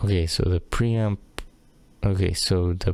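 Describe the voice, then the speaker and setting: The voice is quiet and moves at a fairly slow pace. Its pitch varies in an ordinary way. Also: man. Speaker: streamer testing audio gear. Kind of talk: solo mic test talk-through. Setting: home room at night, window open. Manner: quiet, normal speaking voice; hesitant, many fillers.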